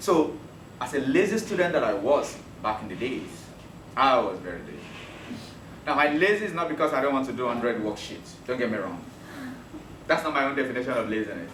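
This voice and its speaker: A man with a Yoruba accent speaks at a fairly high pitch and a fairly quick pace, his pitch swinging very widely, with long, frequent pauses, audible room echo and noticeable background noise. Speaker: teacher. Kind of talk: lecture. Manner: animated.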